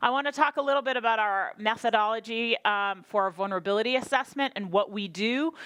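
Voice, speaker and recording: Barely pausing, a woman speaks at a very fast pace with an animated, energetic tone. Her pitch is fairly high, and it varies in an ordinary way. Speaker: state drought planning official. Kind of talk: conference presentation. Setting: workshop with audience.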